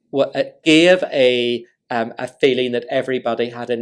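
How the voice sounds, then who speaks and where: The recording is very clean with a silent background, and the man speaks at a medium pitch. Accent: Northern Irish. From Northern Ireland. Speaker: diplomat. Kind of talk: lecture talk to audience.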